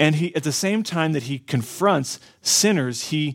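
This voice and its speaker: This is a man with a plain, everyday voice, speaking at a fairly slow pace. His pitch varies in an ordinary way, and the recording is very clean with a silent background. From US South, southwestern Florida. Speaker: pastor. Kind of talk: sermon.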